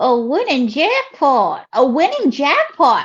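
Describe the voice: In a put-on character voice with a Southern US accent, a woman speaks slowly at a high pitch. Her pitch swings very widely.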